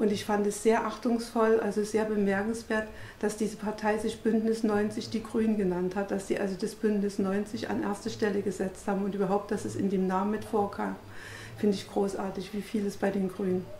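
Audible room echo and light background noise surround a woman's medium-pitched voice. Her intonation is monotone and flat, and her pace is moderate. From East Germany. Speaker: politician. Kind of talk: interview testimony. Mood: warm, reflective. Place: home room.

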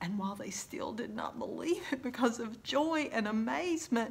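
With vocal fry and lively intonation, a woman speaks at a fairly high pitch and a moderate pace.

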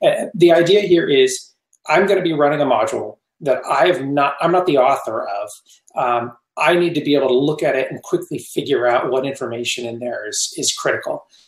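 A man talks at a fairly quick pace over a quiet background, with audible room echo. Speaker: guest. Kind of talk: interview answer. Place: home room. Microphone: headset.

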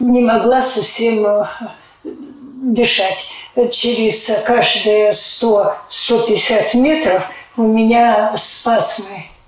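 Speaking at a very slow pace, a woman with a fairly high pitch and ordinary pitch variation is heard in a room with audible echo. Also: very even loudness. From Siberia, Russia. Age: 80s+. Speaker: clinic patient. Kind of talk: testimonial interview. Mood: earnest, grateful. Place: office.

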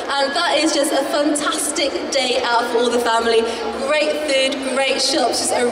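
Audible room echo and noticeable background noise around a woman talking at a moderate pace. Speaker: event host. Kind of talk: stage announcement. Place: hall.

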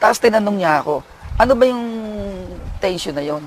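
Talking at a fairly quick pace with lively intonation, a man with a high pitch is heard against noticeable background noise. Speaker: prison official. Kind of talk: interview.

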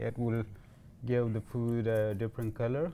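This man's tone is dark and mellow. His intonation stays fairly even. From Afghanistan, Kandahar; Afghanistan. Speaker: cooking show guest, newcomer to Canada; guest. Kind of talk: cooking demonstration chat. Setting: teaching kitchen studio. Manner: halting, many fillers. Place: kitchen. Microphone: lapel.

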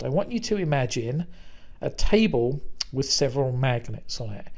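At a moderate pace, a man talks in a British accent at a fairly high pitch. Audible room echo surrounds his voice. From Britain. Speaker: business consultant. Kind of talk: conference presentation.

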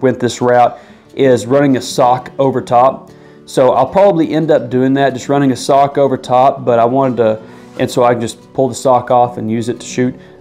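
Faint music plays in the background. A man speaks over it at a fairly quick pace. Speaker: gear reviewer. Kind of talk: product review talk. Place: empty room.

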